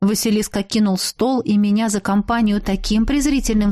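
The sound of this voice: Unforced voice, reading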